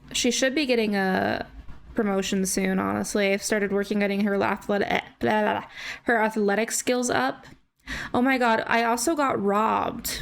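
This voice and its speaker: Against noticeable background noise, the speech moves at a moderate pace with very even loudness and fairly even intonation. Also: woman, medium pitch for a woman. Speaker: gaming YouTuber. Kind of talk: gameplay commentary. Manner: casual, chatty.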